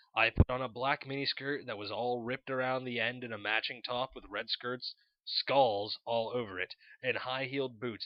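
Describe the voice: With fairly even intonation, the speaker does plain reading aloud.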